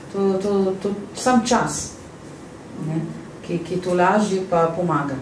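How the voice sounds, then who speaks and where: Room echo is audible, along with light background noise. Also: woman, ordinary pitch variation. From Iraq, Baghdad; Iraq. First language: Arabic (speaking Slovenian). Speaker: refugee and translator; public guest. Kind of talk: interview testimony. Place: hall.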